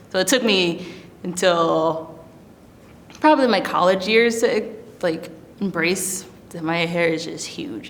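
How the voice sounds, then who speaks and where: At a fairly slow pace, a woman with an ordinary speaking voice and an American accent talks at a medium pitch with lively intonation and big swings in loudness. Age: 20s. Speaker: oil painter. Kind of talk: interview answer. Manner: casual, conversational.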